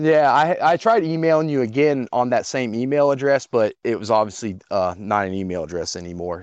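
A man talks at a fairly quick pace in an unremarkable speaking voice with lively intonation. The sound is dry and close with no echo. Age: 30s. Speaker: caller. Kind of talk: call-in conversation. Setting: phone call.

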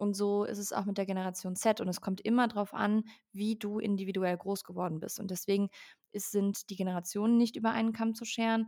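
A woman's medium-pitched, dark, mellow voice in a monotone, flat delivery at a fairly quick pace, on a very clean recording with a silent background. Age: 20s. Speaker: founder and speaker on workplace topics. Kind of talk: podcast interview.

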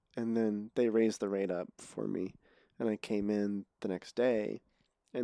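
Soft-spoken and fairly low-pitched, a man talks at a moderate pace in a flat monotone. His tone is dark and mellow, and the sound is dry and close with no echo. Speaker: podcast host and filmmaker. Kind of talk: casual interview conversation. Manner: halting, many false starts.

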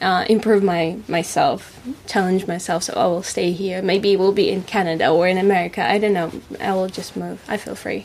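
Someone with a Russian accent speaks at a moderate pace in a monotone, flat intonation amid noticeable background noise. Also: woman, medium pitch for a woman. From Russia, Moscow area. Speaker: musician and actress. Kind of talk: casual chat.

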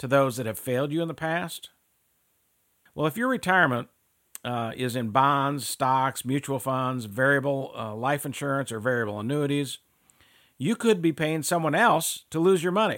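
In a very clean recording with a silent background, a man with an unremarkable speaking voice speaks at a moderate pace, his fairly high pitch showing ordinary pitch variation. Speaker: financial salesman. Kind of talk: infomercial sales pitch for annuity products. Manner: persuasive, urgent, salesy with repeated calls to action; earnest, reassuring, fear-stoking about market losses.

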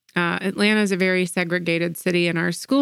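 A normal speaking voice with fairly even intonation. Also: woman. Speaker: podcast co-host. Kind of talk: casual podcast conversation.

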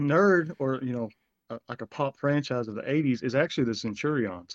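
A man with a fairly high pitch has an ordinary speaking voice, moderate pace and ordinary pitch variation, recorded with a dry, close sound and no echo. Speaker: former co-host interviewing. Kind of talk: casual interview. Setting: video call.

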